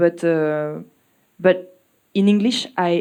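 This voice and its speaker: With a French accent, a woman speaks in a dark, mellow tone with ordinary pitch variation. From France. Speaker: musician. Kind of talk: interview. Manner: halting.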